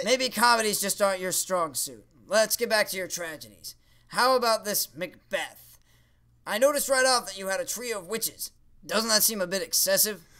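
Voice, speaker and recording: A man uses a high-pitched, cartoonish character voice, raised and projected, with big swings in loudness at a moderate pace. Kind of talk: comedy puppet sketch. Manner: indignant, theatrical.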